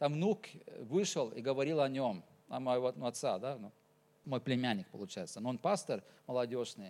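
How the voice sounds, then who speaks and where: This man's pitch swings very widely on a very clean recording with a silent background. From Norway. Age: 40s. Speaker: pastor. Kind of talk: sermon. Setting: church.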